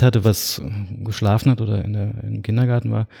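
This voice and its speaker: A man's fairly low, somewhat breathy voice with a dark, mellow tone and fairly even intonation, on a very clean recording with a silent background. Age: 40s. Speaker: architect and cycling blogger. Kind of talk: casual interview. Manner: hesitant with many fillers.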